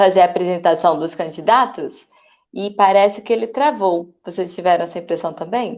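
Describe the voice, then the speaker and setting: At a moderate speed, a woman talks in a medium-pitched voice. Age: 30s. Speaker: city council candidate. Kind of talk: online panel discussion. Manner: halting, many fillers.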